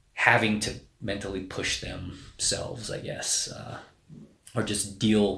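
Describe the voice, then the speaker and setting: Audible room echo surrounds a man whose voice sits at a fairly low pitch. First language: Spanish. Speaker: navy special forces officer. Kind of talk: casual interview. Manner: hesitant, many fillers.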